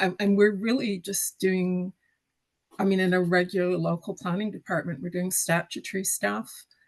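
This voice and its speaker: In an ordinary speaking voice, a woman with a Canadian accent talks at a moderate pace, her pitch medium and her intonation fairly even. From Western Canada. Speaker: council planner. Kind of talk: online panel discussion.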